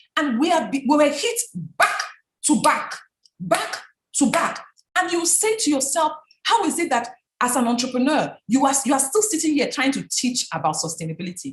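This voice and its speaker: A woman's high-pitched, animated voice in a Nigerian accent, with very wide pitch swings. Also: moderate pace. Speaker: business founder and speaker. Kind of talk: talk.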